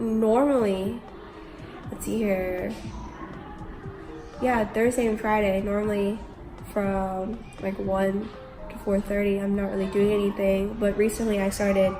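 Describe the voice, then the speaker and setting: With music in the background, a woman speaks at a fairly slow pace and medium pitch, with monotone, flat intonation and long, frequent pauses. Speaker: English teacher in Korea. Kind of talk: casual vlog talk to camera.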